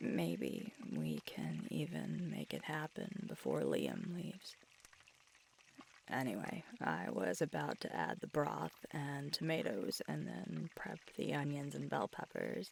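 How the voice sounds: A woman's put-on character voice, low-pitched with vocal fry and a slightly husky edge, slow and full of big pitch swings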